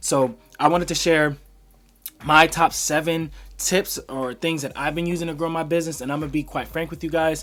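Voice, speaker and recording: A man's fairly high voice with monotone, flat intonation. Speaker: small business owner and entrepreneur vlogger. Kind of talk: casual talking-head tutorial. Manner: fast; casual, filler-heavy.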